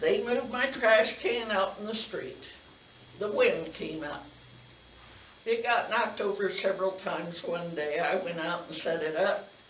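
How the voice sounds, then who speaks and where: A woman speaks at a moderate pace with a medium pitch and ordinary pitch variation. The recording has audible room echo and noticeable background noise. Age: 80s. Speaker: resident addressing city council. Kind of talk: public comment complaint. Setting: city council meeting.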